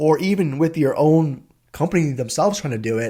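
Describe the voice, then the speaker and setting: The voice belongs to a man and sounds somewhat breathy. He moves along at a fairly quick pace. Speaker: tech content creator, identity and access management manager. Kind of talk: casual vlog monologue. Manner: fast.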